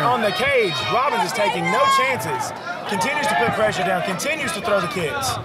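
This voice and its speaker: Someone talks at a fairly quick pace over loud background noise, the sound dry with no echo. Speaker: MMA fight commentator. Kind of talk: live sports commentary, play-by-play. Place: hall.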